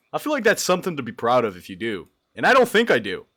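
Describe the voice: At a very fast pace, the voice shows very wide pitch swings, big swings in loudness, vocal fry and a bright, sharp tone on a very clean recording with a silent background. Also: man, fairly high pitch for a man.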